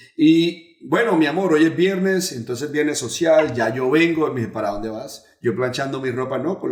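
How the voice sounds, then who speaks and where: With lively intonation and a fairly high pitch, a man talks at a moderate pace as noticeable background noise carries on behind him. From Puerto Rico. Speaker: pastor. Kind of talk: testimony.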